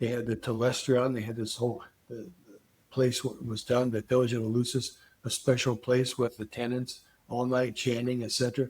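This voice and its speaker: With big swings in loudness, a man speaks at a fairly quick pace and medium pitch in a monotone, flat intonation. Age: 80s+. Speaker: psychedelic research scientist. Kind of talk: interview. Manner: halting.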